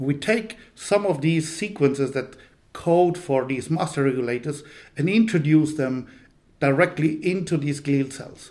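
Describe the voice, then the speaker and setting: A man with a fairly high pitch at a fairly slow pace. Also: ordinary pitch variation. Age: 50s. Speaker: neuroscience professor. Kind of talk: interview. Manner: hesitant, many fillers.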